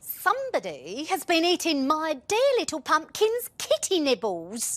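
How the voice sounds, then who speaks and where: A put-on character voice with a high pitch. It moves at a moderate pace. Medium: read story. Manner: aggrieved, declaring.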